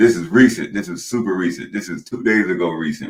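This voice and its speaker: Fairly quick delivery from a man with a very deep, low pitch. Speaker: podcast host. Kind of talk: podcast interview.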